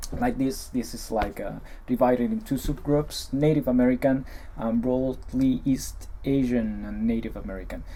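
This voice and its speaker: Someone speaks with an Ecuadorian accent at a moderate pace amid noticeable background noise. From Ecuador, Andes. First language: Spanish. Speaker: vlogger. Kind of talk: casual reaction video. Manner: halting.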